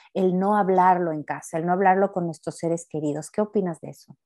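A woman talks at a fairly quick pace in a dark, mellow tone. The sound is dry and close, with no echo. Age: 30s. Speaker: podcast host and therapist. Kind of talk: casual chat.

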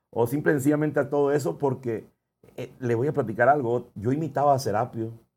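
Using an ordinary speaking voice, a man talks at a medium pitch with ordinary pitch variation. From Ciudad Obregón, Sonora, Mexico. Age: 30s. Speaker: singer. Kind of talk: casual chat.

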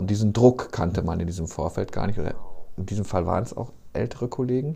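Somewhat breathy, this man's voice comes through clearly. It carries a dark, mellow tone. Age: 50s. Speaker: podcast host, newspaper journalist. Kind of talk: casual chat.

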